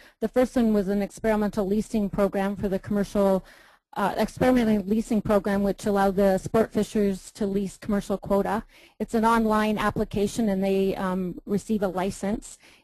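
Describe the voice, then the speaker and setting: A woman's medium-pitched voice, dark and mellow in tone, with monotone, flat intonation at a fairly quick pace against a quiet background. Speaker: fisheries staff presenter. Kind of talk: meeting presentation. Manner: hesitant, many fillers.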